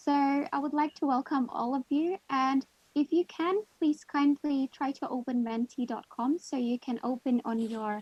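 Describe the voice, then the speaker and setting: This woman has a high-pitched voice. She speaks with a non-native accent. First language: not English. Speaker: guest presenter, English learner. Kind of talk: online workshop presentation.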